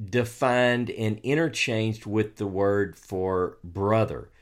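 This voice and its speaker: In a Southern US accent, a man speaks at a very slow pace with a medium pitch. The recording is very clean, with a silent background. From US South. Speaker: co-host and author on biblical texts. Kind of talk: casual chat about scripture.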